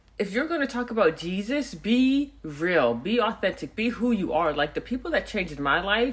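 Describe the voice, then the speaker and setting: A loud voice with a bright, sharp tone comes through. It moves at a moderate pace with lively intonation. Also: woman. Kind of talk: personal testimony monologue. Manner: urban vernacular speech.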